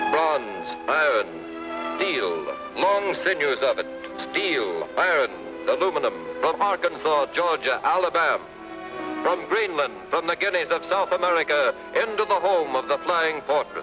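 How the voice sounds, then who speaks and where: A man's fairly slow speech plays against background music. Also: very even loudness. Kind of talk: documentary newsreel narration. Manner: rhythmic, declamatory.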